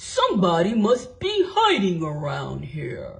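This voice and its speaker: A female-sounding voice does a growling, put-on character. The delivery comes at a fairly slow pace. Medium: read story.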